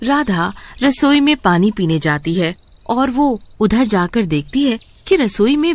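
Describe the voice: A woman's voice at a fairly slow pace, full of big pitch swings.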